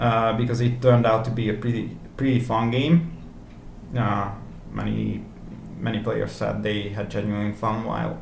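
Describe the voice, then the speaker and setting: A man speaks in a Hungarian accent. Room echo is audible. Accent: non-native, Hungarian. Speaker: indie game developer, vlogger. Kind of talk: video blog. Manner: halting, many fillers.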